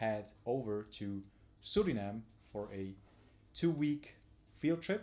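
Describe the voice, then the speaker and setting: A man with a non-native accent speaks at a very slow pace and medium pitch. His tone is dark and mellow, his intonation lively. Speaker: tarantula hobbyist and field trip presenter. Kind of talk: live stream presentation. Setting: home at night, live stream. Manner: quiet, not too loud; halting with many fillers.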